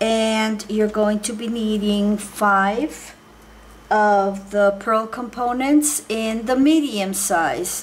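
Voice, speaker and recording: The speaker talks very slowly in a Spanish accent. Noticeable background noise runs under the voice. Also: woman. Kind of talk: tutorial. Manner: hesitant, many fillers.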